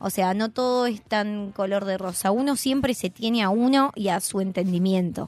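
Her voice is an unremarkable speaking voice, medium in pitch for a woman, delivered at a moderate pace with fairly even intonation. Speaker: columnist on press freedom. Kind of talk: radio column talk.

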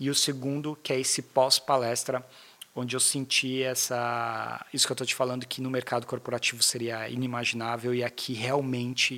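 Moderate pace and monotone, flat intonation. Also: man. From Brazil, São Paulo (Zona Leste). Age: 30s. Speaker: sales manager. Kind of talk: casual interview.

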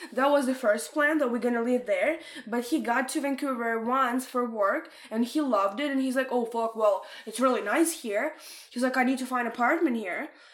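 A woman with a Russian accent, high in pitch and animated in tone, at a moderate pace with ordinary pitch variation. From Ukraine, Odessa. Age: 20s. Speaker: podcast guest. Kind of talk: casual chat.

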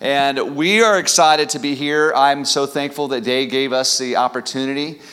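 The speaker talks at a fairly slow pace with a Midwestern American accent. Audible room echo is present. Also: man. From US Midwest (Kansas City area). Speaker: pastor, church planter. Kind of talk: sermon. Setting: church. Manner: animated.

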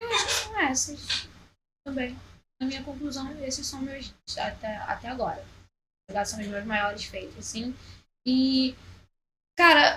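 A woman projects her voice in a raised, high-pitched tone that is bright and sharp, with lively intonation. She speaks very slowly with long, frequent pauses, and the room echo is audible. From Rio de Janeiro, Zona Norte (Penha, Vila Cruzeiro). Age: 20s. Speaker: rapper. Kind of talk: casual interview chat.

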